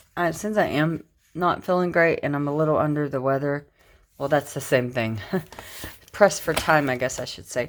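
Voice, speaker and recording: A woman talks in a relaxed tone at a very deep, low pitch. Her pace is fairly quick and her intonation lively. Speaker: planner decorating vlogger. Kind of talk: casual tutorial narration. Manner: relaxed, chatty.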